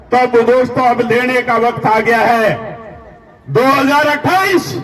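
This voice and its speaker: A man speaks with an extremely high pitch. Noticeable background noise and audible room echo come through. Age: 70s. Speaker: community leader. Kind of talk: political rally speech. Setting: stage with audience. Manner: loud; animated.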